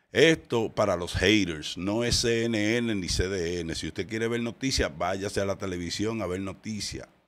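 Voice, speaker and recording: Hardly pausing, a man talks at a fairly slow pace. His pitch is fairly low and varies in an ordinary way. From Dominican Republic, Santiago; Dominican Republic. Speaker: podcast host. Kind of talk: casual commentary. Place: studio. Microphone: studio mic.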